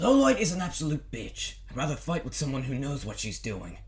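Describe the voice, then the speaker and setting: A man talks in a raspy, put-on character voice. His pace is fairly quick. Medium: audio drama. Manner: brash, loud.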